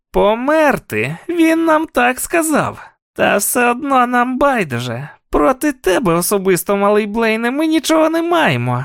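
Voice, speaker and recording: A man puts on a character voice in an extremely high pitch. His pitch swings very widely as he goes at a moderate pace. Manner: cold, taunting, menacing.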